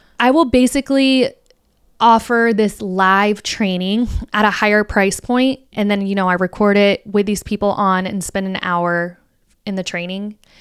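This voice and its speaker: In a normal speaking voice with an American accent, the speaker goes at a moderate pace with ordinary pitch variation, on a very clean recording with a silent background. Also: woman, medium pitch for a woman. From Florida, US. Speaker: podcast host, content creator and social media marketer. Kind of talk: casual solo talk.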